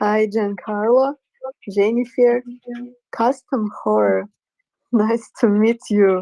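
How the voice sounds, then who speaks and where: A woman with a dark, mellow tone and a fairly high pitch speaks at a very slow pace in a monotone, flat intonation, leaving long, frequent pauses, the sound dry and close with no echo. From Russia. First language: Russian. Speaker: artist, audience member. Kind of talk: casual chat. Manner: halting.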